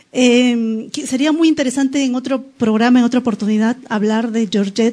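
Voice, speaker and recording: In an unremarkable speaking voice, a woman talks at a moderate pace in a fairly high pitch with fairly even intonation. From Peru, Lima. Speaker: poet and writer. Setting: studio.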